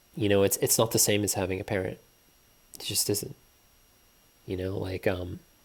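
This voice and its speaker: Recorded very cleanly against a silent background, a man with a fairly low pitch talks at a moderate pace in a monotone, flat delivery, somewhat breathy and with long, frequent pauses. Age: 30s. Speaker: video blogger. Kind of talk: personal monologue.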